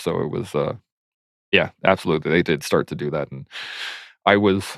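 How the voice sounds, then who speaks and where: The speaker has a slight southern Alberta accent and keeps a moderate pace. The sound is dry and close, with no echo. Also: man. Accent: slight southern Alberta twang. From Canada, southern Alberta. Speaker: army veteran. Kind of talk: casual chat.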